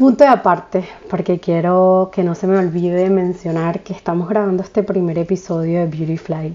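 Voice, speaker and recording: With a plain, everyday voice, a woman speaks at a moderate pace, her pitch fairly low and her intonation fairly even. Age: 30s. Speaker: podcast host, spiritual coach. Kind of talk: casual monologue.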